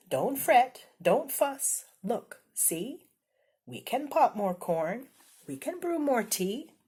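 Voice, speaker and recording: A woman's squeaky, high-pitched, put-on character voice at a very slow pace. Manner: reassuring, comforting.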